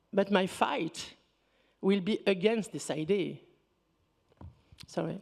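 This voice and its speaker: In a French accent, a woman speaks at a very slow pace with long, frequent pauses. Her pitch is medium, with ordinary variation. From rural Picardy, France (born North Africa). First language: Berber. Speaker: researcher, panelist. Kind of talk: panel discussion.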